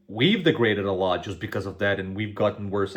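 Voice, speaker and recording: Talking at a very fast pace, this man has a fairly low pitch. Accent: Macedonian. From North Macedonia. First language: Macedonian. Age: 20s. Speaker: YouTube reaction creator. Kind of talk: casual reaction commentary. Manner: animated.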